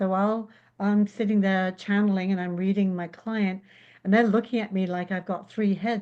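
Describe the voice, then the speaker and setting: Against a quiet background, a woman speaks at a moderate pace in an English accent. Her medium pitch is monotone and flat, with a dark, mellow tone. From England. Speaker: intuitive spiritual healer. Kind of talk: podcast interview answer.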